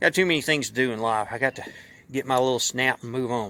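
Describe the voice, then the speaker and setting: A man's fairly quick delivery in a Southern US accent, with a bright, sharp yet relaxed tone, medium pitch and ordinary pitch variation. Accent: country Southern US. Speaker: YouTuber and hobby mechanic. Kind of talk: casual vlog talk. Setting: outdoors. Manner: relaxed, conversational.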